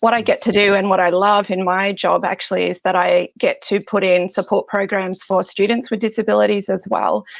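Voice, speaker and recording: With hardly any pauses, a woman moves through her words at a fairly quick pace. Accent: Australian. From Australia. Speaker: biblical scholar and lecturer. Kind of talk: interview.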